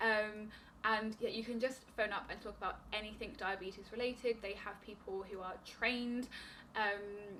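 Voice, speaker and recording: A bright, sharp tone in a British accent, with monotone, flat intonation. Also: woman, fairly high pitch for a woman. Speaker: diabetes vlogger. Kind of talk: casual vlog advice. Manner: fast; stumbling over words.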